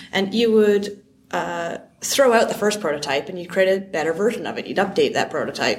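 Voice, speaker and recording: A woman's unremarkable speaking voice with a Canadian accent, medium pitch, ordinary pitch variation, a fairly quick pace and big swings in loudness. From Canada. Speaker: software founder and CEO. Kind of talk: conference interview. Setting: conference venue.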